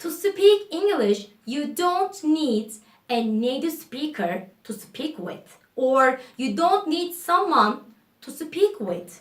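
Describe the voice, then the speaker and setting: In a Turkish accent, a woman speaks at a very slow pace with a high pitch and very wide pitch swings. Her loudness swings widely too. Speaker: English teacher YouTuber. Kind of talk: casual spoken English lesson to camera. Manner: spontaneous, casual.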